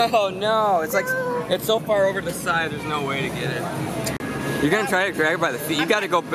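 Speech comes at a very fast pace with ordinary pitch variation. Crowd noise runs in the background. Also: man. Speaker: arcade vlogger. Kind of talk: casual vlog commentary. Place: hall. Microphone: phone near.

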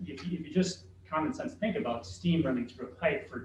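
Fairly quick and fairly high-pitched, a man speaks with vocal fry and very wide pitch swings, his voice carrying audible room echo. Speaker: school facilities consultant. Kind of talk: board work session discussion. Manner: halting, many repeated words.

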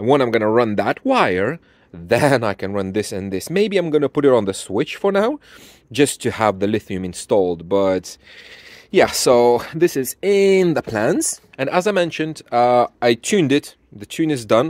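A man talks at a fairly slow pace with big pitch swings. His tone is slightly mellow. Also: medium pitch for a man.

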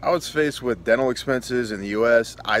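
Light background noise sits under a dry sound with no echo. A man speaks at a fairly quick pace with fairly even intonation. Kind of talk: casual testimonial. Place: garden. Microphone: phone near.

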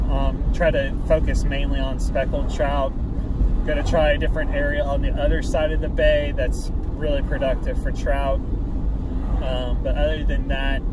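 A man at a moderate pace, dry sound with no echo, over loud background noise. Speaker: fishing vlogger. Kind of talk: casual vlog chat. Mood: cheerful, upbeat. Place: car. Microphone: phone near.

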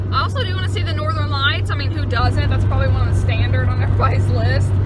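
With loud background noise all around, a woman speaks in a dry sound with no echo. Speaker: vlogger. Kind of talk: casual vlog chat. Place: car. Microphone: phone near.

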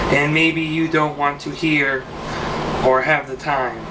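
A man at a fairly slow pace, with loud background noise. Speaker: poet. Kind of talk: spoken word poem, read aloud with rhyme. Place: home room. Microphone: webcam.

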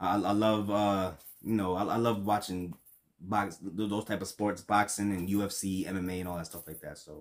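This speaker has a New York accent and talks at a moderate pace. The intonation is monotone and flat, while the loudness swings widely. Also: man, fairly low pitch for a man, quiet background. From New York, Brooklyn. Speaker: reaction youtuber. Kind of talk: casual reaction commentary. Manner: halting, repeats words.

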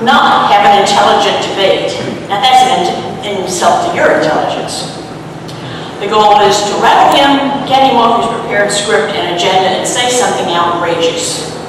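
The recording carries strong room echo along with noticeable background noise. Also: moderate pace. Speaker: town hall moderator. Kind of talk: public address to audience. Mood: firm, scolding. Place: church.

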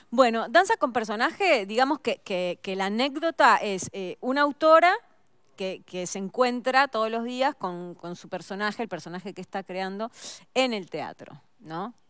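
A fairly slow, lively voice with an Uruguayan accent, big swings in loudness, and a dry, close sound with no echo in a very clean recording with a silent background. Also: woman, fairly high pitch for a woman. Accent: Uruguayan Rioplatense Spanish. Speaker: actress. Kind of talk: casual interview chat.

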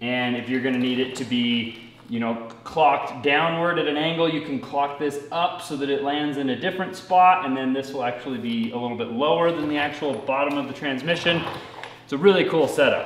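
A man speaks at a fairly quick pace with ordinary pitch variation, with audible room echo and light background noise. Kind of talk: tutorial. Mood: relaxed, upbeat. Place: garage. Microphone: camera far.

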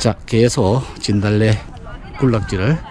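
Against light background noise, a man's fairly low voice comes through dry, with no echo. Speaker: real estate YouTuber. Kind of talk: hiking vlog narration. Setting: outdoors. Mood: pleased, admiring. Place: open country. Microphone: phone near.

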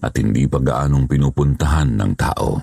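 A man is speaking. His pace is fairly slow. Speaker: horror story narrator. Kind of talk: scripted narration.

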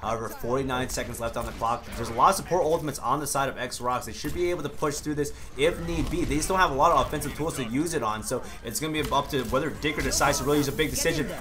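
Over noticeable background noise, a man with a fairly high pitch and ordinary pitch variation speaks at a very fast pace. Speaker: esports caster. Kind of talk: esports match commentary. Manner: excitable, fast play-by-play with sudden exclamations.

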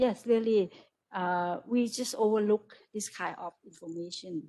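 Here a woman talks at a fairly slow pace. Her tone is dark and mellow, with ordinary pitch variation. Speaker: university lecturer. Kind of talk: discussion remarks after lecture. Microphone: video call.

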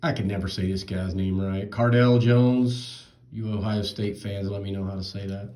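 Moderate pace, fairly even intonation and a dark, mellow tone from a man, with a quiet background. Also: fairly low pitch for a man. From North Carolina (Charlotte). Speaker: card collector YouTuber. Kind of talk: box break commentary. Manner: casual. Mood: relaxed, mildly amused. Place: home room. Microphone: phone near.

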